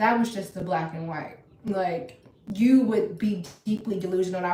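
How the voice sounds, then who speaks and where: A woman's medium-pitched voice with an American accent and fairly even intonation, amid noticeable background noise and audible room echo. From Virginia. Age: 20s. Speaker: ostomy lifestyle streamer. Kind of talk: casual chat.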